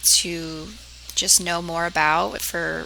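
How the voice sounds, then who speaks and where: A woman speaks over noticeable background noise. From US Northeast, southeastern Connecticut. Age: 20s. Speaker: public health student. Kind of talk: class self-introduction video.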